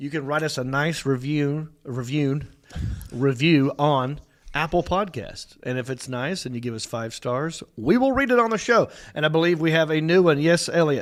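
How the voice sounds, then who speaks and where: In a Southern US accent, a man speaks at a fairly high pitch. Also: ordinary pitch variation, moderate pace. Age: 40s. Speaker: comedian and podcast host. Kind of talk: casual chat. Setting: studio.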